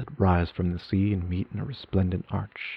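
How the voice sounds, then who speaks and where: A man speaks in a fairly low pitch with ordinary pitch variation at a moderate pace. His voice is somewhat breathy, with a solemn tone. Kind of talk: literary audiobook reading, first-person gothic narration. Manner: formal, lyrical, ornate storytelling with a solemn, cadenced delivery.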